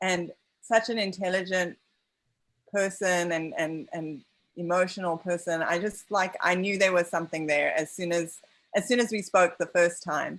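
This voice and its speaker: A woman with a non-native accent talks at a moderate pace. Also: medium pitch for a woman, fairly even intonation. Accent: foreign accent, non-American. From outside the US. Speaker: documentary filmmaker. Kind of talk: post-screening Q&A. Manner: halting, many fillers.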